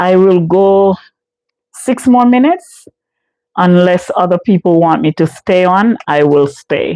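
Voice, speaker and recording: A woman with a Jamaican accent speaks at a fairly slow pace in a dark, mellow tone. Her pitch varies in an ordinary way, her loudness stays very even, and the sound is dry and close with no echo. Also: medium pitch for a woman. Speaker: live streamer, home care case manager. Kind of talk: casual live stream chat. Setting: live stream.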